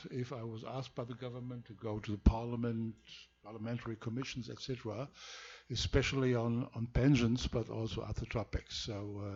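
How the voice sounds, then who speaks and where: The man speaks at medium pitch in a monotone, flat intonation. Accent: German. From Germany. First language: German. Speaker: law professor. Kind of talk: lecture. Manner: halting.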